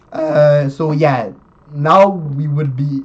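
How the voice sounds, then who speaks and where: A man speaks over noticeable background noise. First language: not English. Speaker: chess YouTuber. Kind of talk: tutorial. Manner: halting, many fillers and self-corrections.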